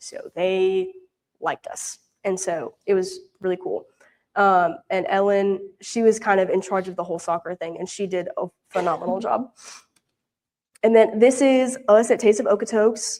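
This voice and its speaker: A woman with a Southern US accent speaks at a moderate pace and medium pitch, with ordinary pitch variation and big swings in loudness. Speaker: mission intern. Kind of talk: mission report with slides. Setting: church prayer meeting. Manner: casual, many fillers.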